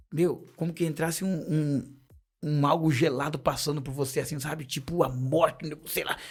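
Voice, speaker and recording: Music plays in the background as a man speaks at a moderate pace. His pitch is fairly high and his intonation fairly even. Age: 40s. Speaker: missionary and church deacon. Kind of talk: testimony.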